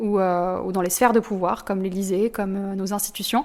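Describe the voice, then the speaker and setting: A woman with an unremarkable speaking voice talks at moderate speed and medium pitch. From southern France. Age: 20s. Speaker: student activist. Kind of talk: interview testimony.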